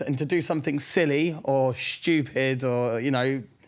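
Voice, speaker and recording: A man's fairly high voice shows normal pitch movement, with noticeable noise in the background. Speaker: reality TV star. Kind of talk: podcast interview. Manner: loud, projecting; halting, many fillers.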